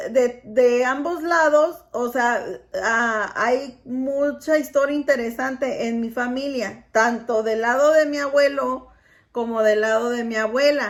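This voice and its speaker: Very slowly, a woman speaks with a high pitch. Her intonation is fairly even. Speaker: vlogger. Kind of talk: casual talk to camera and family conversation.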